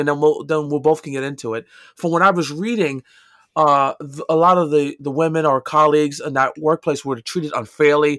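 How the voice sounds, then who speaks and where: A man with a New York accent speaks at a fairly high pitch. The recording is very clean with a silent background, and the sound is dry and close with no echo. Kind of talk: casual chat.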